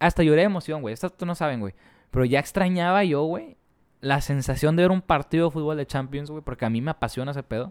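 Very fast and fairly high-pitched, a man talks with ordinary pitch variation. The recording is very clean, with a silent background, and the sound is dry and close with no echo. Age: 20s. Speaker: podcast co-host. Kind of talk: casual chat.

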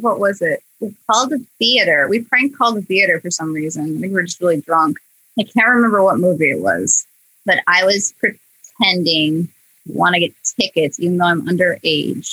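A woman with a Midwestern US accent talks at a moderate pace with lively intonation. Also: medium pitch for a woman, dry, close sound with no echo. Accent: US Midwest. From Iowa, US Midwest. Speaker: animator and comedy video creator. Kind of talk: casual chat.

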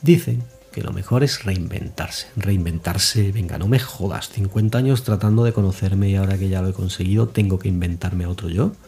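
Using a rumbling, put-on character voice with fairly low pitch, a man talks at a fairly quick pace with hardly any pauses and ordinary pitch variation. Faint music plays in the background. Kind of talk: comic confessional monologue. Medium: solo performance. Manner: sarcastic, grumbling, peppered with swearing; conversational, addressing the diary fondly.

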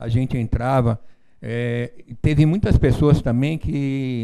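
A man speaks at a fairly high pitch with ordinary pitch variation. His tone is dark and mellow. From São Paulo, Brazil. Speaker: relative of a missing person. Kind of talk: interview.

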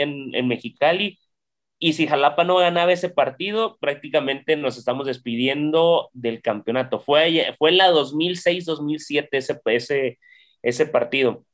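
A man's plain, everyday voice, fairly high in pitch, at a fairly slow pace with ordinary pitch variation. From Mexico, Xalapa, Veracruz. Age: 30s. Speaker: basketball team press officer. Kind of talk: casual interview.

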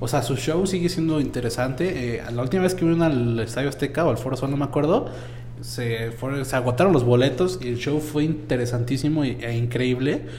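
A man with a Mexican accent at a fairly quick pace and medium pitch, ordinary pitch variation, with noticeable background noise and audible room echo. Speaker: podcast host. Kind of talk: casual chat.

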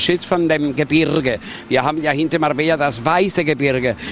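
A man with a fairly high voice speaking at a fairly quick pace over noticeable background noise. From Spain, Andalusia. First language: Spanish (speaking German). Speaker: tour guide. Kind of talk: guided tour. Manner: animated.

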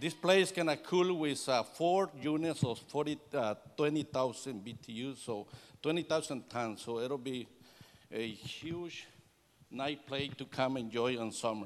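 On a very clean recording with a silent background, a man with a Salvadoran accent speaks at a very slow pace in a fairly high voice with ordinary pitch variation. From El Salvador. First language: Spanish. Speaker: air conditioning business owner giving church testimony. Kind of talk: testimony. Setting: church service.

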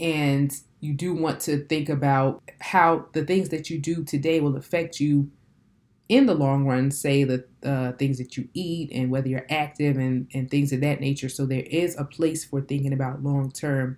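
Her voice sits at a very deep, low pitch, and she speaks with an American accent. This woman keeps a moderate pace and fairly even intonation. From Nigerian heritage, New Jersey. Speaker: podcast host. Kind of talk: solo podcast monologue. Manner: casual, conversational.

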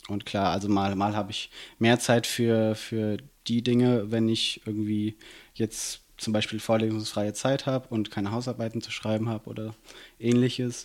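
The recording is very clean with a silent background as a man of medium pitch speaks at a moderate pace in a monotone, flat way. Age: 20s. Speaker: student and city councillor. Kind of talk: casual interview. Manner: hesitant, many fillers.

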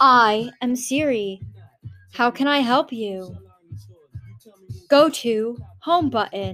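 A put-on, robotic character voice from a woman, high-pitched with ordinary pitch variation, at a very slow pace with long, frequent pauses and music in the background. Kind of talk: polite, scripted.

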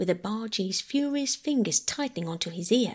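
Read in a natural reading voice, the words carry lively intonation.

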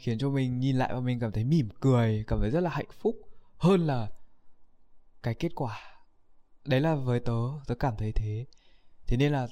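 Fairly slow speech with long, frequent pauses on a very clean recording with a silent background. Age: young. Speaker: YouTuber. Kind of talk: casual vlog monologue. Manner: halting.

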